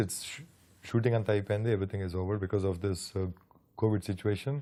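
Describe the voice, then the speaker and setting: A man with a fairly low pitch and a dark, mellow tone at a very fast pace, broken by long, frequent pauses, on a very clean recording with a silent background. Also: big swings in loudness. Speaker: film producer. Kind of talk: interview, casual chat. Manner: code-switching Telugu and English.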